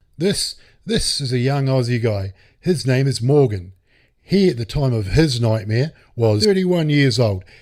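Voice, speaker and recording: This is a man with a New Zealand accent. The background is silent and the recording very clean. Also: medium pitch for a man, lively intonation, moderate pace. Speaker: true crime narrator. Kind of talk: casual narration. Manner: animated.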